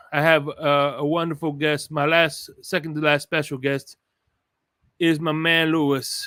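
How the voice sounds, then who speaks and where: Loud and with a bright, sharp tone, a man speaks in a dry, close sound with no echo. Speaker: sports podcast host. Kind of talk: casual chat. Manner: animated.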